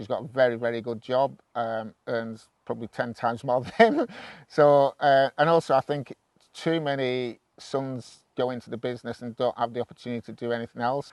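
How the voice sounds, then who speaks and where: A man talks in an unremarkable speaking voice at medium pitch and a moderate pace, with fairly even intonation. The background is quiet, and the sound is dry and close with no echo. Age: 50s. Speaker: farmer. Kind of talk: interview.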